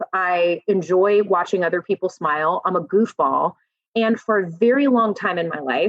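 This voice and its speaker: Her pitch medium and its variation ordinary, a woman speaks at a moderate pace. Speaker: motivational speaker. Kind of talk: podcast interview. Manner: loud; animated.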